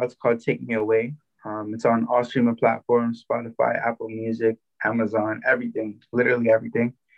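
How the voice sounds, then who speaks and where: In a Toronto accent, a man speaks at a fairly quick pace. His medium-pitched voice stays monotone and flat. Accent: Canadian English, Toronto. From Toronto, Canada. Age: 20s. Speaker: musician. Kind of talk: interview.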